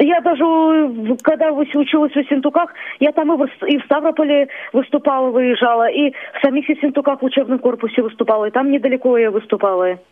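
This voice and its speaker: The voice shows ordinary pitch variation while noticeable background noise is heard. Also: woman, high pitch for a woman, moderate pace. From Kalmykia. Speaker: singer. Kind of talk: phone interview. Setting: phone call.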